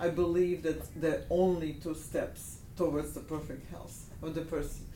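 Audible room echo surrounds a woman with a Russian accent who speaks at a fairly slow pace and a fairly low pitch. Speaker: natural medicine doctor. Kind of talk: interview. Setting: in her office.

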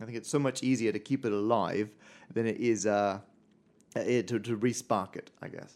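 Recorded very cleanly against a silent background, a man speaks with an Australian accent. His pitch is medium and his intonation fairly even. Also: moderate pace. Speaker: stand-up mathematician. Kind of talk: casual interview. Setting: studio.

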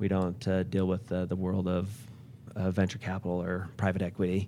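A man's voice, fairly low in pitch, is heard with music playing behind it. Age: 40s. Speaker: company owner and CEO. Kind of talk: interview.

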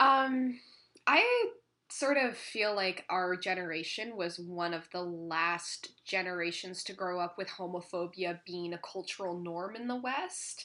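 With a Canadian accent, a woman has an ordinary speaking voice, a medium pitch and ordinary pitch variation. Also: fairly slow pace. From Ontario, Canada. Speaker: podcast host. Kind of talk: casual chat. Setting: at home, cat on lap.

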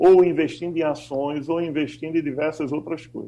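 His voice is fairly high in pitch for a man, yet dark and mellow in tone. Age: 50s. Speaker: financial consultant. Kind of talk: radio panel discussion.

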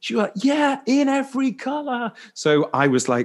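A man's pitch swings very widely as he talks at a moderate pace, with a quiet background behind him. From Liverpool, England. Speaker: fashion stylist and former actor. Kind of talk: casual interview conversation.

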